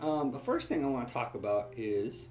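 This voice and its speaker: The speech moves at a moderate pace with ordinary pitch variation. Noticeable background noise is present. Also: man. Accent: American. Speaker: political livestream host. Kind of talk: casual livestream talk. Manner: kept quieter than usual.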